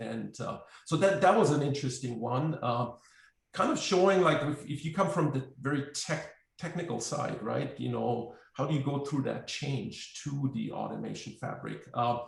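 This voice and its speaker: A man with a German accent at a moderate pace, with long, frequent pauses and audible room echo. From Germany. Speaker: software company representative, automation expert. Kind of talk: webinar panel discussion. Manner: halting, many fillers.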